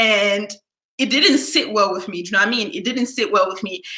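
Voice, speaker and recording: This woman's tone is animated. The rise and fall of her pitch is ordinary. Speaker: YouTuber. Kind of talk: casual storytime livestream. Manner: naturally loud.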